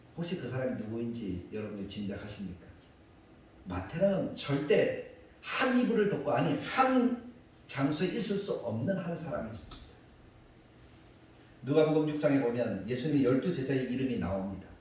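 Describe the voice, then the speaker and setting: A man with a fairly high pitch speaks at a moderate pace with very wide pitch swings and long, frequent pauses, amid audible room echo and noticeable background noise. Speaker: pastor. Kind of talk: sermon.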